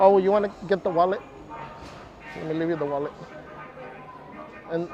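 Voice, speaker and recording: Music plays behind a man who speaks at a very fast pace with a high pitch and long, frequent pauses. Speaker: live streamer. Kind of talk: live stream chat while walking a theme park. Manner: upbeat, animated.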